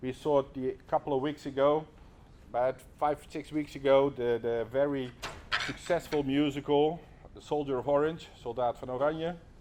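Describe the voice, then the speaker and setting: At a moderate pace, a man with a Dutch accent speaks in a fairly high pitch and fairly even intonation. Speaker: lecturer. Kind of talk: lecture. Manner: halting.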